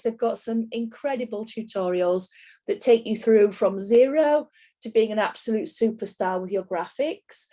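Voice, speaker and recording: A woman speaks in a strong Yorkshire accent at a fairly high pitch. Her tone is dark and mellow, with ordinary pitch variation. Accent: broad Yorkshire. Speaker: soap making teacher. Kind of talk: online class tutorial.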